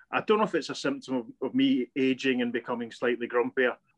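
A man with a west of Scotland accent, medium in pitch, very fast, with fairly even intonation and a dry, close sound with no echo. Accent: Scottish (west of Scotland). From Scotland, Paisley. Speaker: podcast co-host. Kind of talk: casual chat.

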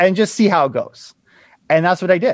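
A man with a high pitch talks in a dry, close sound with no echo and a quiet background. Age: 30s. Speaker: realtor and real estate investor. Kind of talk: interview conversation. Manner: fast, loud.

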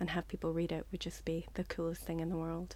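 Very clean recording with a silent background of a woman with a Northern Irish accent. Her voice is fairly low, with monotone, flat intonation. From Northern Ireland. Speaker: short story writer. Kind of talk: interview.

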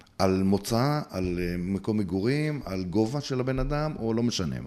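Moving at a fairly slow pace, a man with a dark, mellow tone speaks at a fairly low pitch with very wide pitch swings. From Israel, Bnei Brak. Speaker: playback theatre actor and group facilitator. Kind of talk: interview conversation.

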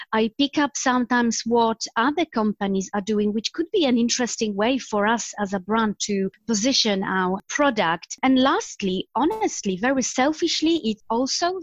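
In a Polish accent, a woman speaks at a moderate pace with a fairly high pitch and lively intonation. The sound is dry and close, with no echo. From Poland. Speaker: marketing executive. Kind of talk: interview.

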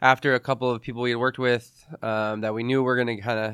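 A man speaks at medium pitch in a flat monotone. The recording is very clean and dry, close, with a silent background and no echo. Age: 30s. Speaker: music promoter. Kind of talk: interview.

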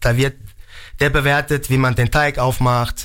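A man with a plain, everyday voice speaks at a medium pitch and a fairly slow pace. The recording is very clean, with a silent background. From Germany, Mainz. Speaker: pizza chef. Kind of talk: radio interview.

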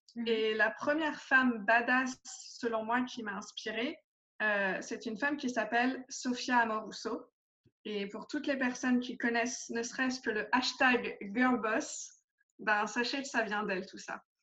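A woman speaks at a fairly slow pace in a high voice with a bright, sharp tone and ordinary pitch variation. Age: 30s. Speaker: life coach. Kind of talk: interview.

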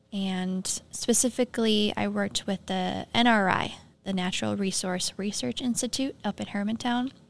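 A woman with an Upper Midwest accent speaks fairly slowly at a medium pitch, with fairly even intonation. The recording is very clean, with a silent background. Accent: Upper Midwest (Minnesota). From Minnesota. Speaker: environmental technician. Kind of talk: interview conversation. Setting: studio.

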